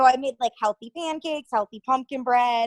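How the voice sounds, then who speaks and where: A high-pitched woman with an East Coast US accent speaks at a moderate pace with ordinary pitch variation, in a dry, close sound with no echo. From Connecticut, near New York City. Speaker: TV news reporter. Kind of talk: casual interview chat.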